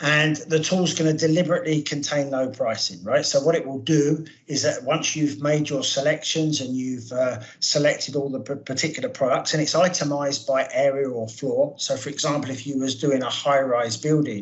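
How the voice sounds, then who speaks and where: A man with a British accent speaks at a moderate pace, his voice somewhat breathy and fairly high-pitched. His intonation stays fairly even, with hardly any pauses. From UK. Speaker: product manager. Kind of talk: webinar presentation. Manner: halting.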